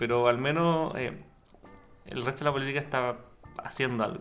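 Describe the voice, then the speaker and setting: There is noticeable background noise behind a man speaking at a moderate pace. His pitch sits in the medium range. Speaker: podcast co-host. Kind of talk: casual chat.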